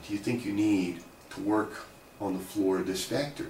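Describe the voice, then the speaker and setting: Over noticeable background noise, a man with an American accent speaks at a moderate pace with a fairly low pitch and lively intonation. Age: 50s. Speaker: economics academic and author. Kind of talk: personal storytelling to camera. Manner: casual, conversational.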